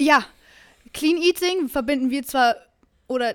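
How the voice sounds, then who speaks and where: Speaking at a moderate pace is a woman. Her pitch varies in an ordinary way. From Bavaria. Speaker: fitness podcast co-host. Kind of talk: casual chat.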